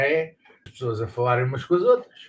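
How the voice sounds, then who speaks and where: A man speaks at a moderate pace with a European Portuguese accent. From Portugal. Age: 60s. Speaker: political commentator. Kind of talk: casual monologue; casual live-stream political chat. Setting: live stream on exercise bike. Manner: hesitant, repeats words. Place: home room. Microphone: webcam.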